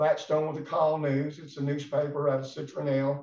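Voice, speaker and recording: A man talks with an Alabama accent. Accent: Southern US (Alabama). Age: 60s. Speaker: former baseball player and sports writer. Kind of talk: casual chat. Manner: halting.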